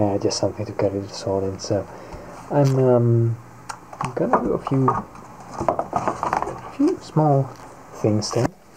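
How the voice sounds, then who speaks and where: Very slow, relaxed delivery with long, frequent pauses, ordinary pitch variation and noticeable background noise. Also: man. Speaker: costume maker. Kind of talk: casual talk to camera. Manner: hesitant, relaxed. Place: home room. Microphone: phone near.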